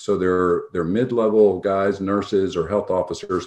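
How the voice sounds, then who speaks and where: In a quiet background, a man with an American accent and an unremarkable speaking voice talks at a fairly low pitch with ordinary pitch variation. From New York State (Albany area). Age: 60s. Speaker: doctor and health tech founder. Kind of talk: interview.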